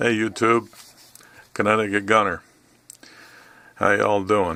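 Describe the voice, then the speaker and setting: His bright, sharp tone sits at a fairly low pitch for a man. He speaks at a fairly slow pace with monotone, flat intonation. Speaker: gun channel YouTuber. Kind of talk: tutorial. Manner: halting, many fillers.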